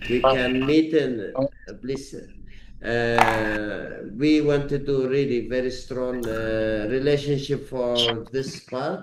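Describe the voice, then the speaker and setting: Over noticeable background noise, a man speaks at a very slow pace with fairly even intonation. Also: medium pitch for a man. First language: not English. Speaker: company head. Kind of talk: business video meeting. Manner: halting.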